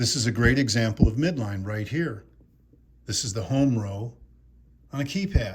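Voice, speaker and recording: A man's somewhat breathy speech with lively intonation and long, frequent pauses. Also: medium pitch for a man, moderate pace. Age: 60s. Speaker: exercise physiologist and movement coach. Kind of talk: instructional tutorial. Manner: energetic, informal.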